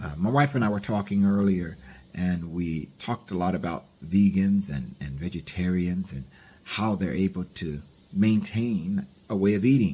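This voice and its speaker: A man with a very deep, low pitch and dark, mellow tone, moderate pace and ordinary pitch variation, in a very clean recording over a silent background. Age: 60s. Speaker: diet vlogger. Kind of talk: casual vlog monologue. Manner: hesitant, with many fillers.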